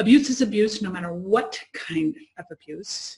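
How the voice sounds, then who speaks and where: A woman with a fairly high pitch and lively intonation, at a moderate pace. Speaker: interview host. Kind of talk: casual chat. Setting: video call. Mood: earnest, reflective. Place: home room. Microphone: video call.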